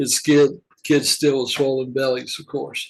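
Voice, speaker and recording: Somewhat breathy, a man speaks with a Southern US accent at a fairly slow pace. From US South, Georgia. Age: 70s. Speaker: retired humanitarian volunteer. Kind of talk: personal reflective monologue. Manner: halting, with fillers.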